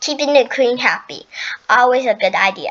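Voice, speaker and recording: A woman uses a put-on character voice pitched high. Her pace is moderate. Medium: read story. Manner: nervous.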